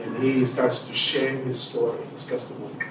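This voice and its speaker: A man with a Spanish accent speaks at a medium pitch and moderate pace amid noticeable background noise and audible room echo. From Mexico. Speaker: pastor and community development leader. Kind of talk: testimony. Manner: halting.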